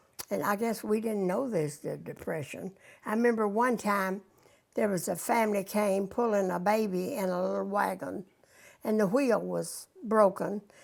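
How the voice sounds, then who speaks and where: A woman speaks in a western Kentucky accent at a medium pitch. Her pace is moderate, and her pitch shows ordinary variation. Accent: western Kentucky Southern US. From Kentucky, Lynn Grove area (western Kentucky). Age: 90s. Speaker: elderly interviewee recalling local history. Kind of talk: oral history interview.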